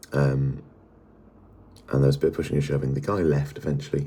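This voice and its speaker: Very deep and low in pitch, a man talks at a very fast pace. His tone is dark and mellow, and his intonation is monotone and flat. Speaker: music fan vlogger. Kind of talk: casual vlog. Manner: quiet, hushed; halting, many fillers.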